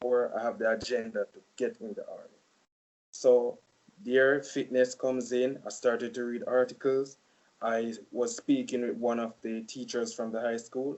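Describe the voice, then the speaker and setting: With a Jamaican accent, a man speaks at a moderate pace while his loudness swings widely. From Jamaica (Saint Elizabeth). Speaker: college student. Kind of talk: casual interview.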